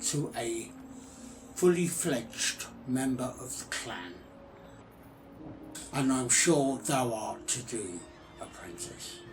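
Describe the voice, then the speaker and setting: A man in a put-on character voice at a medium pitch, with a very slow pace, long, frequent pauses and clear background noise. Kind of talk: ASMR character roleplay.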